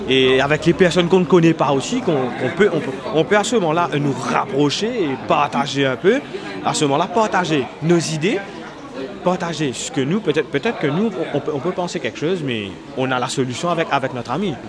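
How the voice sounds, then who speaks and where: A man talks fairly quickly at a fairly high pitch with lively intonation. The room echo is audible, and crowd noise sits in the background. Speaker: parishioner in men's faith group. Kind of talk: interview. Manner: halting.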